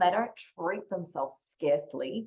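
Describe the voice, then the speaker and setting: A woman with an Australian accent speaks in a fairly low voice, her pitch rising and falling by an ordinary amount. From Western Australia. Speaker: money mindset coach. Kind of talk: podcast interview.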